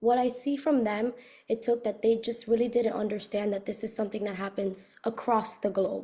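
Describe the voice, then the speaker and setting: A woman with an American accent speaks in a fairly high pitch with a dark, mellow tone. Her voice is somewhat breathy and her intonation is monotone and flat. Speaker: recent university graduate. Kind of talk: interview. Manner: fast.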